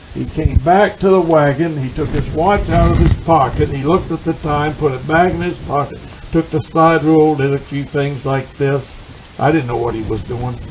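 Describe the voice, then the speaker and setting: Amid noticeable background noise, a man talks at a moderate pace with a fairly high pitch and ordinary pitch variation. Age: 80s+. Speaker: drag racing legend. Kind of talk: interview answer.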